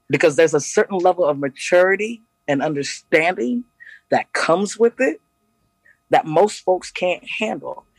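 With an American accent, the voice moves at a moderate pace with ordinary pitch variation, sounding dry and close with no echo while music plays in the background. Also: man. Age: 40s. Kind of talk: casual chat. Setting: remote call from Ghana at night.

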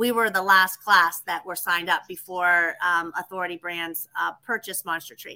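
Bright and sharp in tone, a woman with an American accent and a fairly low pitch talks with fairly even intonation, hardly any pauses and big swings in loudness. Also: moderate pace. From western Pennsylvania. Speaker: tree service franchise owner. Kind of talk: interview.

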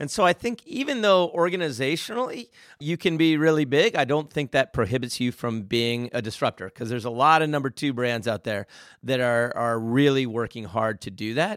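A man's medium-pitched voice with lively intonation at a fairly quick pace, in a very clean recording with a silent background. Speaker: marketing agency CEO. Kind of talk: casual interview chat. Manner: loud, fast, passionate, excitable.

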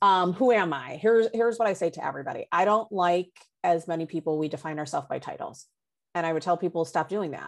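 With a quiet background, a woman speaks at a very fast pace and fairly low pitch, with ordinary pitch variation. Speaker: social and emotional learning expert. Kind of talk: casual interview chat. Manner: authoritative.

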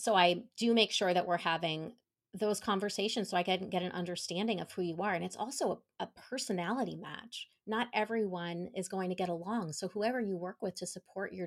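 Recorded very cleanly against a silent background, a woman with a normal speaking voice talks at a moderate pace and medium pitch, using ordinary pitch variation. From New York, then Colorado from age 13. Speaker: travel and hospitality sales consultant. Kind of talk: interview.

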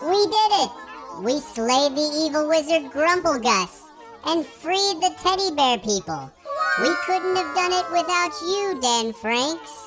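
Someone puts on a character voice and speaks at a fairly slow pace over clear background noise. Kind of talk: comic overacting. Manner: bombastic, proclamatory, indignant.

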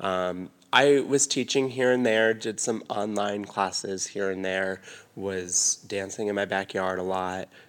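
A man with an American accent and an unremarkable speaking voice talks at a fairly slow pace, his fairly low pitch moving with ordinary variation. The recording is very clean, with a silent background. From Arizona. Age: 20s. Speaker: dancer and choreographer. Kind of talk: casual chat.

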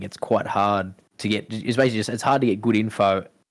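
Fairly low in pitch, this voice belongs to a man. He speaks with an Australian accent. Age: 20s. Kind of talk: casual chat. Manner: halting.

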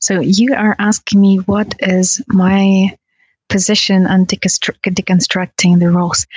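A woman at medium pitch speaks at a very slow pace in a somewhat breathy voice, with fairly even intonation and very even loudness. The sound is dry and close with no echo. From Russia, Tatarstan. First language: Russian. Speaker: kizomba dancer. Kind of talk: casual chat.

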